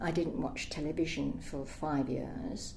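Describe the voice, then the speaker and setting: Speaking at a moderate pace, a woman has a British accent. Audible room echo and noticeable background noise surround her voice. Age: 60s. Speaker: interviewee with electrosensitivity. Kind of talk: testimony.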